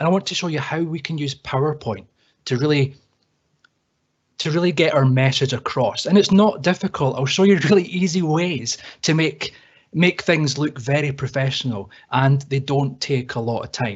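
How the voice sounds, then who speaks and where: Somewhat breathy, a man with a Scottish accent speaks at a moderate pace, his fairly high pitch showing ordinary variation. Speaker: IT trainer. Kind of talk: webinar tutorial. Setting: online webinar. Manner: casual, repeats words.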